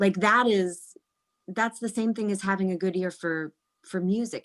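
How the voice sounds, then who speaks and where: In a very clean recording with a silent background and a dry, close sound with no echo, a woman with an American accent talks at a moderate pace and medium pitch with ordinary pitch variation. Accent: slight Midwest, mostly trained out. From US Midwest. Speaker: actress. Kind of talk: interview.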